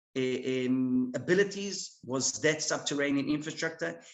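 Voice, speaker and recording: This man has an Israeli accent. He speaks at a moderate pace. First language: Hebrew. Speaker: military officer. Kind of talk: presentation. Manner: halting, many fillers.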